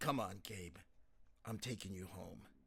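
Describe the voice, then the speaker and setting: A man uses a put-on character voice that is raspy and very deep in pitch. His intonation is lively, and his pace is moderate. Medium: read story. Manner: wry, teasing.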